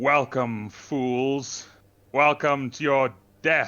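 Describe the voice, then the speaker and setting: Using a put-on character voice, a man projects loudly at a medium pitch and a very slow pace. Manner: menacing.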